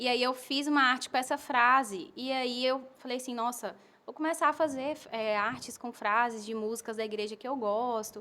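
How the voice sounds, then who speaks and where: A woman speaks in a high pitch with a bright, sharp tone. Her intonation stays fairly even, with hardly any pauses. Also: moderate pace. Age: 20s. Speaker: advertising professional and missionary. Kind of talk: podcast interview. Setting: home.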